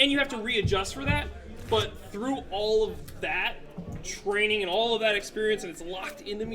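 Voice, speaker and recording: Noticeable background noise runs beneath fairly quick speech. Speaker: game tournament judge. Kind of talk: workshop feedback discussion.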